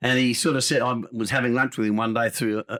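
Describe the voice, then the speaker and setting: Bright and sharp in tone, a man with an Australian accent speaks at a very fast pace with monotone, flat intonation. The recording is very clean, with a silent background and a dry, close sound with no echo. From Adelaide, South Australia. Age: 80s+. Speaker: former football umpire and sports radio host. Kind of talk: interview.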